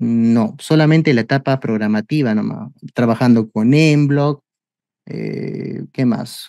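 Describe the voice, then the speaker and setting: Against a quiet background, a man with a medium-pitched voice and a dark, mellow tone speaks at a fairly slow pace with ordinary pitch variation, the sound dry with no echo. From Peru. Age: 30s. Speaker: robotics teacher. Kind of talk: webinar presentation. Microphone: video call.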